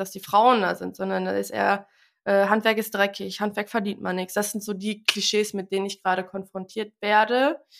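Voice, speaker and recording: In a very clean recording with a silent background, a woman talks at a medium pitch in an ordinary speaking voice with fairly even intonation. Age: 20s. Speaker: tradeswoman and social media creator. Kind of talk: interview.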